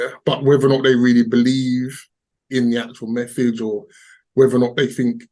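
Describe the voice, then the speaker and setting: A medium-pitched male voice with an English accent. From England. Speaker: crypto investor. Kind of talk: casual interview. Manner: hesitant, repetitive.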